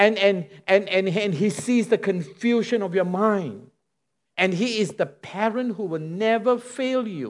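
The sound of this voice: Ordinary pitch variation in an unforced reading voice, set against a quiet background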